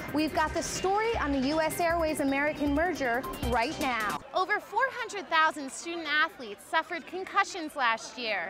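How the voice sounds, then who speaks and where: A woman talks at a moderate pace in a raised, projected, high-pitched voice with hardly any pauses. Music plays in the background. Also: lively intonation. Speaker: broadcast journalism student reporter. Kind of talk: TV news reporting.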